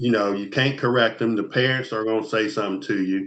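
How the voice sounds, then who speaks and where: A normal speaking voice from a man, fairly low in pitch, with fairly even intonation, an American accent and a moderate pace. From Ohio, Columbus. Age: 60s. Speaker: former police officer and mentor. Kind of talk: casual interview.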